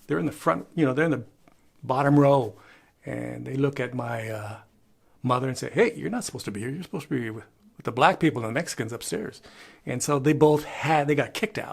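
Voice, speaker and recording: A man's medium-pitched voice with vocal fry, big swings in loudness, a fairly quick pace, and long, frequent pauses. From Chicano Mexican-American, from Crystal City, Texas. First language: bilingual Spanish and English. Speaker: YouTuber and photographer. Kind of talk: casual talk to camera, family history. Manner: conversational, many filler words.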